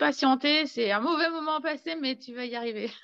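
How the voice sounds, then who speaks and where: Lively intonation marks a woman's speech. She talks fairly slowly. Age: 40s. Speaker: horse owner and student. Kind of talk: testimony. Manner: halting.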